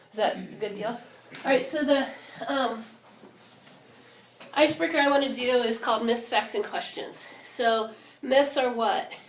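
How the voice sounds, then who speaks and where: A woman's high-pitched voice with ordinary pitch variation, long, frequent pauses and audible room echo. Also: moderate pace. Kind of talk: talk to an audience. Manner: laid back.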